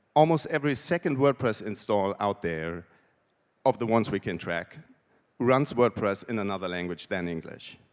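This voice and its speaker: There is a German accent in this man's speech. His pitch sits fairly low. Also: very clean recording, silent background. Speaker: conference speaker, WordPress translator. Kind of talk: conference talk. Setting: stage with audience.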